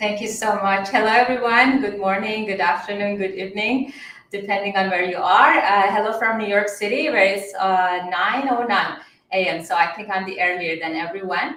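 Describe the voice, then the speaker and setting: A woman of medium pitch with an Iranian accent at a moderate pace, amid audible room echo and noticeable background noise. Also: ordinary pitch variation. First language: Farsi. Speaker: mediator and attorney. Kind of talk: panel discussion.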